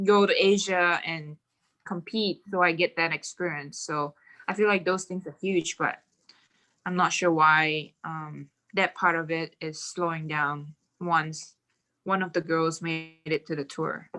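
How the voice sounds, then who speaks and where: A bright, sharp tone with a Mandarin accent, fairly even intonation and a fairly slow pace, over a quiet background. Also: woman, fairly low pitch for a woman. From Malaysia. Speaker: professional golfer. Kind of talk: podcast interview.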